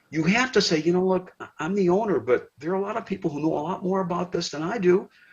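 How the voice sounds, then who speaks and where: This man has a Michigan accent and a high pitch. He talks at a fairly quick pace. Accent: US Midwest, Michigan. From Detroit, Michigan. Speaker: retired sportscaster. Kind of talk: casual chat.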